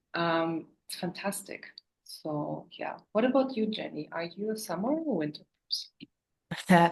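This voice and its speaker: Speaking slowly with long, frequent pauses, a woman with a German accent uses a medium pitch, a somewhat breathy voice and lively intonation. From Germany, Berlin. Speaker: sewing business owner. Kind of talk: casual chat.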